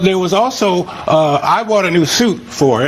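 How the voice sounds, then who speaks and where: Against noticeable background noise, a man's intonation is lively. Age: 80s+. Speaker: plaintiff in small claims court. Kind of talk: courtroom testimony. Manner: halting, with frequent fillers.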